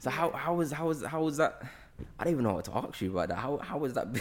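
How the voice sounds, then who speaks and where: A man speaks at a very fast pace with lively intonation. His voice has vocal fry. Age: 20s. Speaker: podcast host. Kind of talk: casual chat.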